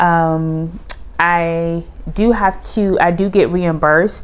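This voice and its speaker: Her intonation stays fairly even. The woman's pitch is fairly low. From United States. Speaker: vlogger, Air Force retiree. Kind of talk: casual vlog monologue.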